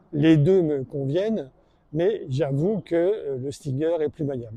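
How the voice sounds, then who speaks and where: At a fairly slow pace, a man speaks in a dark, mellow tone at a fairly high pitch. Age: 70s. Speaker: fling golf player and video maker. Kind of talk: tutorial commentary. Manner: hesitant, many fillers.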